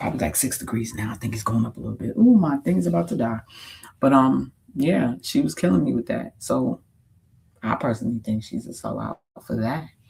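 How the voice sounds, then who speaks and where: Animated in tone, a man with a New York accent talks at a fairly quick pace. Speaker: streamer. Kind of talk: casual chat.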